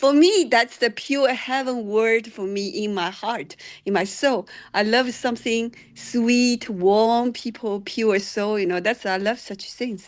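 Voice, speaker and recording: Over a quiet background, the speaker talks at a fairly slow pace with a non-native accent and ordinary pitch variation. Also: woman, fairly high pitch for a woman. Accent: foreign accent when speaking. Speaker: singer-songwriter. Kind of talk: feedback session chat. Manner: halting.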